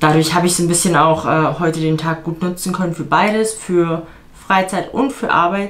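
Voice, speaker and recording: A woman's normal speaking voice, fairly low in pitch, at a moderate pace with fairly even intonation. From Germany. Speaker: vlogger and fitness coach; vlogger, fitness coach. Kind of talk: casual vlog talk to camera. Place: home room. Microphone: camera far.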